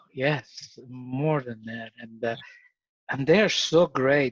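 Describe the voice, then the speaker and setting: Recorded with a dry, close sound and no echo, a man with an Ecuadorian accent speaks at a medium pitch with ordinary pitch variation. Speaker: father sharing parenting experience. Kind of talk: casual interview chat.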